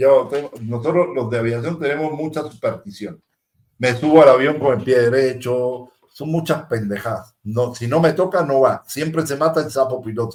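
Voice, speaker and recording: Ordinary pitch variation and a moderate pace from a man with a fairly high voice. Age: 60s. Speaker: aviation technician and show co-host. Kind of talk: casual chat. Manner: animated.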